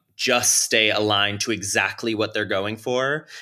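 A man with a fairly low pitch and a bright, sharp tone speaks at a fairly slow pace on a very clean recording with a silent background. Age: 20s. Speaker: content creator. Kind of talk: interview. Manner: halting.

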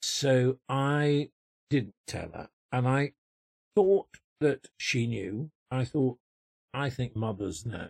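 Using a Yorkshire accent, a man with a medium pitch and a somewhat breathy voice speaks at a very slow pace with long, frequent pauses and lively intonation, the sound dry and close with no echo. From Yorkshire, England. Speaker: actor. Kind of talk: interview. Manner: hesitant, many fillers.

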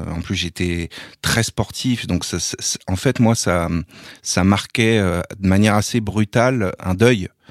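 Fairly low in pitch, a man speaks with fairly even intonation on a very clean recording with a silent background and a dry, close sound with no echo. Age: 40s. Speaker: sports journalist and rugby commentator. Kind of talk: interview testimony. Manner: halting, frequent repetitions.

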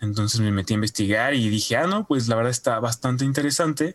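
With a Mexican accent, a man of medium pitch speaks at a fairly quick pace with ordinary pitch variation, the sound dry and close with no echo. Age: 20s. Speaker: animation student. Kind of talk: casual interview.

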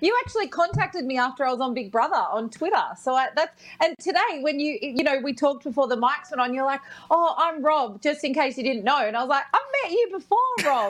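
Speech comes at a very fast pace with lively intonation and an Australian accent. Noticeable background noise sits underneath. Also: woman, high pitch for a woman. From New South Wales, Australia (Bathurst). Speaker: radio and TV personality. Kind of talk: casual chat.

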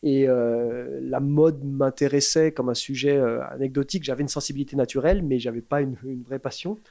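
A man's fairly high-pitched voice with a dark, mellow tone, fairly even intonation and a fairly quick pace. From France, Paris. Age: 40s. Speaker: shoe brand founder. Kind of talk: casual interview. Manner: hesitant, many fillers.

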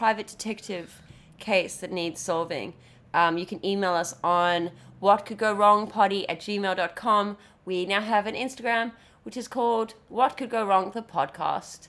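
A woman speaks at a medium pitch in a normal speaking voice with ordinary pitch variation, recorded very cleanly against a silent background. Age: 30s. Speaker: podcast co-host. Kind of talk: casual chat.

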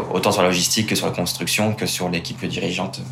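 There is noticeable background noise and audible room echo as a man speaks in a very deep, low pitch with ordinary pitch variation. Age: 20s. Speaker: startup co-founder and engineer. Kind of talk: interview.

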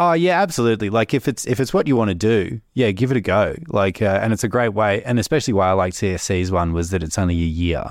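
In an Australian accent, a man talks at a very fast pace with hardly any pauses and very even loudness. His intonation is lively, and the recording is very clean with a silent background. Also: fairly low pitch for a man. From Melbourne, Australia. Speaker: government graduate employee. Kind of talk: casual interview. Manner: halting, many repetitions.

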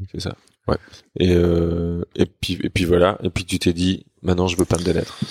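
Speaking at a fairly slow pace, the man has a very deep, low pitch and a dry, close sound with no echo. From Germany. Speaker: sign painter and graffiti artist. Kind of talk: casual chat.

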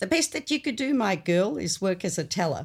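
In an Australian accent, a woman speaks with a dark, mellow tone on a very clean recording with a silent background. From North Macedonia, moved to Australia at eight. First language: Macedonian. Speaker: anthropologist. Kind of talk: interview conversation.

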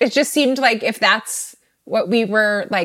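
A woman with a General American accent speaks in an ordinary speaking voice. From Northern Virginia, outside DC. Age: 20s. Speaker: musician and artist. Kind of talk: casual interview chat.

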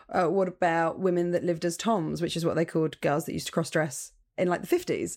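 A woman talks very fast in a flat, monotone delivery with a southern English accent. Her pitch is fairly low, and the recording is very clean with a silent background. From southern England, Portsmouth. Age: 30s. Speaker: stand-up comedian. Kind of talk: casual chat.

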